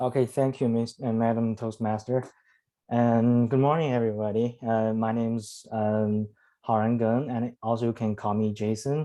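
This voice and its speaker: A man with a Chinese accent speaks at medium pitch and moderate pace in a dark, mellow tone, monotone and flat, with very even loudness over a quiet background. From China (Henan). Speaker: club member, student. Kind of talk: prepared speech. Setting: video call. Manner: halting, many fillers.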